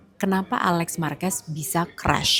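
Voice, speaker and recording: A woman's voice over noticeable background noise. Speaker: motorsport podcast host. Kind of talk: solo commentary review. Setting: outdoors in a public place. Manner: soft-spoken, lower voice; casual, chatty.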